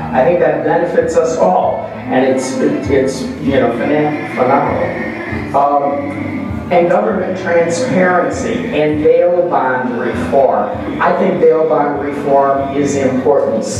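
Clear music plays behind a man in a room with strong echo. He speaks at a very slow pace. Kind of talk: speech introducing an honoree. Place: hall.

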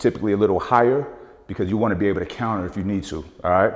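A man with a fairly low pitch and ordinary pitch variation speaks in an unremarkable speaking voice against a quiet background. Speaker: boxing coach. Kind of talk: tutorial. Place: gym.

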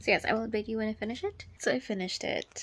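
A somewhat breathy woman speaks at a fairly quick pace. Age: 20s. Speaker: book vlogger. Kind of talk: casual reading vlog. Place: home room. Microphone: phone near.

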